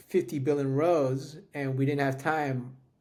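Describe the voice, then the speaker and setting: At a moderate pace, the voice stays monotone with flat intonation, and audible room echo surrounds it. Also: man. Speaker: tech podcast co-host. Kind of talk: casual chat.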